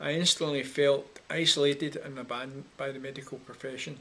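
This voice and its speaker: Here a man with a Scottish accent speaks at a moderate pace. His pitch is fairly high and his intonation is flat and monotone. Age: 60s. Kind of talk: personal testimony. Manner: measured, slightly halting.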